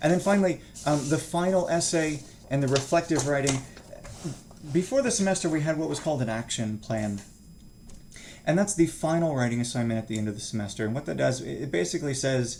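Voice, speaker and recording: A man's fairly high voice with lively intonation, a very fast pace broken by long, frequent pauses, and audible room echo. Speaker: college instructor. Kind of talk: online course introduction lecture. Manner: fast, rushed; casual, with filler words.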